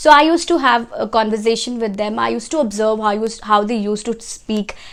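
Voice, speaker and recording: A woman with a Telugu accent and a fairly high pitch speaks at a fairly quick pace on a very clean recording with a silent background. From India, Odisha. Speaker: language and English-speaking YouTuber. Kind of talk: casual vlog talk to camera.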